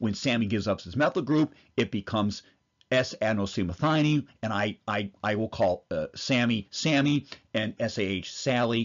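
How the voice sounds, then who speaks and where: A man talks at a moderate pace. His pitch is medium, with ordinary pitch variation. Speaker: physician lecturer. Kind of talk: lecture. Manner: animated.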